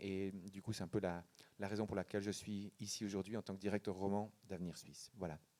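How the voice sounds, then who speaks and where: With a dark, mellow tone and fairly low pitch, a man talks at a fairly quick pace in a dry, close sound with no echo. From Switzerland, canton of Neuchâtel. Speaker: think tank director. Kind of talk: panel discussion. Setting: public event with audience.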